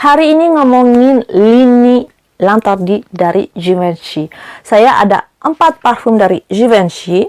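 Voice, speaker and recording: A woman with a fairly high voice speaks with lively intonation in a dry, close sound with no echo. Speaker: perfume reviewer. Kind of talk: product review vlog. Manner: frequent 'eh' hesitation fillers.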